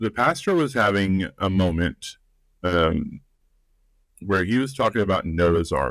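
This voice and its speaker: Speaking with an American accent, a man with fairly low pitch talks at a fairly slow pace with lively intonation and long, frequent pauses. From US South, rural. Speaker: life and relationships coach. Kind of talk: podcast interview. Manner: conversational, with filler words.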